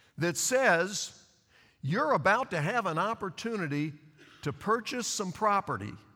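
In a very clean recording with a silent background, a man projects a raised, bright, sharp voice at a fairly slow pace with very wide pitch swings. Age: 60s. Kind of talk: sermon. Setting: church with congregation.

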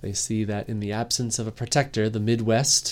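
A man speaks at a moderate pace with a fairly low pitch. His tone is dark and mellow. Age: 30s. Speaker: comic book podcast host. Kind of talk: solo review podcast.

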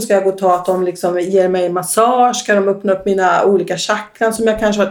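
Here a woman talks with a slight Västergötland accent. Her pitch is medium and her intonation fairly even. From Västergötland, Sweden. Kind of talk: interview about personal testimony.

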